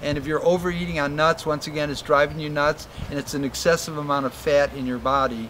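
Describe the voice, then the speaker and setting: Over noticeable background noise, a man speaks very fast at a fairly high pitch in a monotone, flat intonation. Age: 70s. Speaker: tropical fruit farmer. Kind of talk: interview answer. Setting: outdoors.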